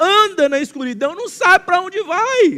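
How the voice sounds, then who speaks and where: A man's raised, projected voice at a moderate pace, lively intonation, and noticeable background noise. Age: 60s. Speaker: pastor. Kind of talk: sermon. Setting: church. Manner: halting, frequent fillers and repetitions.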